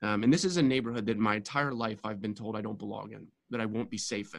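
A man with an American accent and a fairly low pitch, very fast with hardly any pauses, big swings in loudness and ordinary pitch variation. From US, Baltimore. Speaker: real estate developer. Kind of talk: interview.

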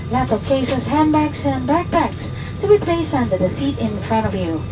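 Woman at a fairly quick pace with music in the background. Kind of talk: safety announcement. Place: plane.

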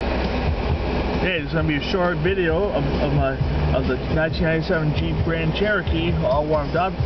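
Loud background noise accompanies speech at a moderate pace, with a dry sound and no echo. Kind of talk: casual vlog chat. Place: car. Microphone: phone near.

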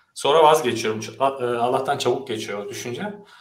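A man is speaking. Room echo is audible in the recording. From Turkey, Ankara. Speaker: software engineer. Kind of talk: online panel discussion. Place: home room.

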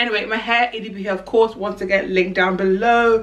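A woman speaks at a very fast pace with an animated tone. Her pitch sits in the medium range. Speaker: fashion vlogger. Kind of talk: try-on haul vlog. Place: home room. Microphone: camera far.

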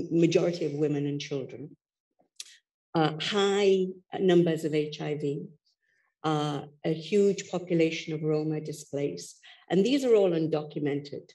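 With a dark, mellow tone, a woman speaks at a very deep, low pitch, using ordinary pitch variation and a fairly slow pace. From Canada. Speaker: gender and security expert. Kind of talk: panel discussion. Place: hall. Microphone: headset.

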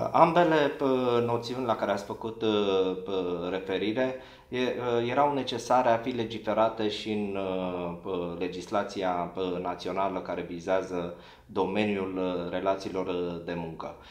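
A man's fairly low voice with ordinary pitch variation, long, frequent pauses, and audible room echo. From Romania. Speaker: lawyer. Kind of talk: formal legal interview. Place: office.

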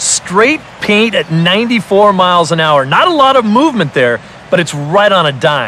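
A man uses a raised, projected voice, high in pitch with very wide pitch swings and very even loudness. He goes at a fairly slow pace over noticeable background noise. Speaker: baseball color commentator. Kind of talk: live sports commentary (video game audio). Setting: studio.

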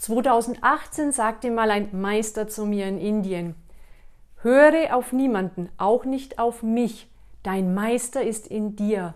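Her pace is very slow, and her pitch varies in an ordinary way. A woman talks over a quiet background. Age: 40s. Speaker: wellness coach / YouTuber; wellness coach, YouTuber. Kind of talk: motivational monologue to camera; guided exercise instructions. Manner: animated. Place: home room. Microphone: lapel.

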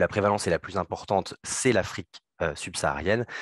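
Against a quiet background, a man with a fairly low pitch uses ordinary pitch variation, and the sound is dry with no echo. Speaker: cardiologist. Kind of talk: conference presentation. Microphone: video call.

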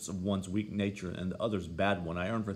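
Reading in an unforced reading voice, with intonation kept fairly even

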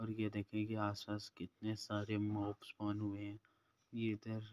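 In a dry, close recording with no echo, a man speaks fairly slowly at a fairly low pitch with monotone, flat intonation.

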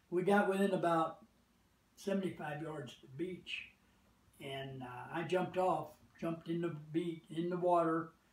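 A man with an American accent speaks at a moderate pace in a high pitch, his intonation fairly even, with audible room echo. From United States. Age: 80s+. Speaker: war veteran. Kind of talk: interview answer. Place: home room. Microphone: camera far.

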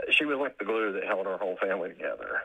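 A man with an Appalachian accent. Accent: Appalachian American. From West Virginia. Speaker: caller, military veteran. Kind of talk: personal testimony. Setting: phone call. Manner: laughs often, halting.

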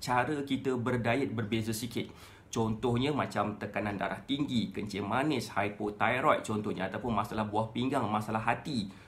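Speaking at a moderate pace, a man goes on with hardly any pauses. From Malaysia. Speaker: weight-loss coach. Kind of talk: Facebook Live talk. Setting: live stream. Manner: casual, conversational. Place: home room. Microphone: phone near.

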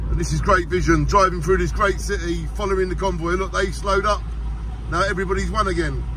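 Background noise is noticeable as a man rushes along at a very fast pace. The sound is dry, without any echo. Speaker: driver vlogger. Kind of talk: casual vlog commentary. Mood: cheerful, enthusiastic. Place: car. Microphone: phone near.

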